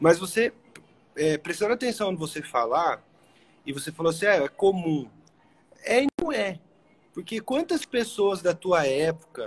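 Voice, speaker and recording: A man speaks at a high pitch, his pitch swinging very widely. His pace is fairly slow. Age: 30s. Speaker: podcast host. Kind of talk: interview. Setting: hotel room, livestream.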